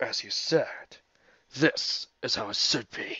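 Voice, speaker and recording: In a put-on character voice with a menacing tone, a man speaks at a fairly slow pace. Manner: menacing, challenging.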